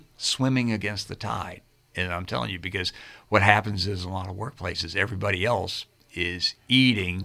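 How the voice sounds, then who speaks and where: A man speaks at a moderate pace with a bright, sharp tone and lively intonation. The recording is very clean, with a silent background. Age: 60s. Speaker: health and fitness coach. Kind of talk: radio interview. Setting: radio studio.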